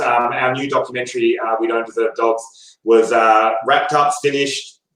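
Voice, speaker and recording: With an Australian accent, a man speaks at a moderate pace in a medium-pitched voice with ordinary pitch variation. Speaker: documentary filmmaker. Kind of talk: interview.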